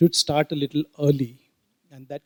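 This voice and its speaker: A man's fairly high voice at a moderate pace, a normal speaking voice, dry and close with no echo. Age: 60s. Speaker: audience member, trekker and trainer. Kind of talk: audience comment at panel.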